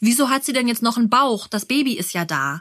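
A woman's moderate pace in an unremarkable speaking voice, pitched fairly high. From Berlin. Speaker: podcast host and mother. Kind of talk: interview.

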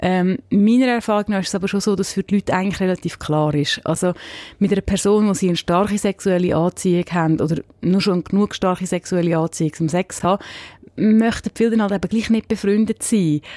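In a very clean recording with a silent background, a woman with a dark, mellow tone and medium pitch talks at a fairly quick pace, with ordinary pitch variation and very even loudness. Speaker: sex and relationship columnist, podcast host. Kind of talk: casual chat. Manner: hesitant, many fillers.

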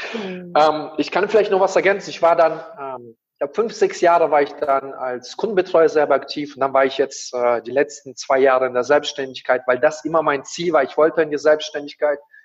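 Speaking at a fairly quick pace, a man uses a normal speaking voice with a fairly high pitch and ordinary pitch variation. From Kazakhstan, moved to Germany as a child. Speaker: coach and speaker. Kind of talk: interview.

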